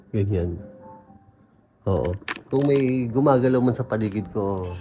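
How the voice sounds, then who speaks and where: Against music in the background, a man speaks fairly slowly in a fairly low pitch. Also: ordinary pitch variation. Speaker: vlogger exploring a cemetery. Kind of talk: ghost-hunting vlog narration. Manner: quiet, hushed.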